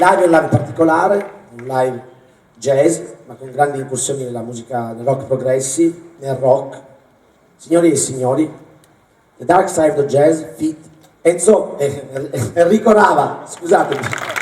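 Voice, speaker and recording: A man's fairly high voice with ordinary pitch variation, big swings in loudness, a moderate pace, long and frequent pauses, and audible room echo. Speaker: concert presenter. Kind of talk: stage introduction. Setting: stage with audience. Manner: halting.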